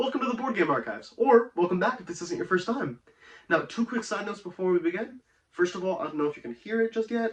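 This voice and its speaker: Speaking at a very fast pace, a man with a high pitch uses lively intonation and big swings in loudness. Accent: American. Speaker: board game reviewer. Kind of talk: review video.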